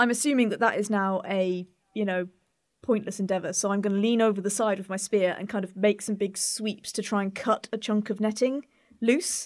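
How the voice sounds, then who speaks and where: On a very clean recording with a silent background, a woman with an ordinary speaking voice talks at a medium pitch and fairly quick pace with fairly even intonation. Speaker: roleplay game player. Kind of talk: casual tabletop roleplay.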